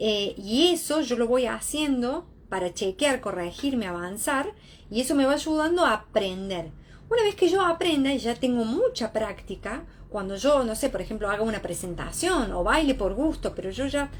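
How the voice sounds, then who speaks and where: A woman with a high pitch and very wide pitch swings at a moderate pace, amid noticeable background noise. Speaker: psychologist. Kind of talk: lecture.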